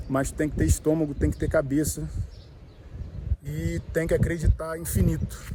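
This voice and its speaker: A man speaks over noticeable background noise. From Brazil, Rio de Janeiro. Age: 30s. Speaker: vlogger, small business owner. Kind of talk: casual vlog talk to camera. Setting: outdoors at the beach. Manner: slightly halting, nervous first video.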